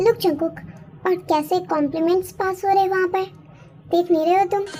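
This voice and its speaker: A woman puts on a squeaky character voice at an extremely high pitch. She talks at a fairly quick pace over clear background noise. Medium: fan dub. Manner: insinuating.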